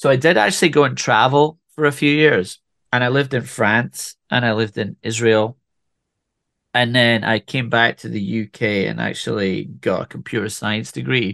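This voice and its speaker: Against a quiet background, a man with a bright, sharp tone and vocal fry speaks with ordinary pitch variation. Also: medium pitch for a man, moderate pace, dry, close sound with no echo. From Scotland, Speyside. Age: 40s. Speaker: whisky brand ambassador. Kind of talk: casual chat.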